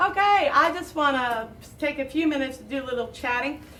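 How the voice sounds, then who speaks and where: There is audible room echo as a woman speaks in a high pitch. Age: 50s. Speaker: talk show host. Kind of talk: casual chat. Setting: stage with audience. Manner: halting.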